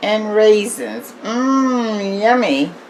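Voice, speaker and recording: Noticeable background noise accompanies a woman talking with lively intonation. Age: old. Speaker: home cook. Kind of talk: casual cooking demonstration to camera.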